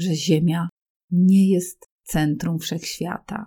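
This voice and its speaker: A woman's somewhat breathy, dark, mellow voice, fairly low in pitch, at a very slow pace, in a dry, close sound with no echo. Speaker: Polish language teacher. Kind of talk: educational reading for language learners. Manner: clear, measured.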